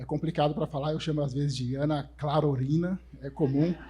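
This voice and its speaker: In a very clean recording with a silent background, a man talks at a fairly quick pace in a dark, mellow, somewhat breathy voice, his pitch fairly high and his intonation fairly even. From Brazil, São Paulo north zone periphery. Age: 40s. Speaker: conference speaker, developer relations professional. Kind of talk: conference talk. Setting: stage with audience. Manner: casual, joking.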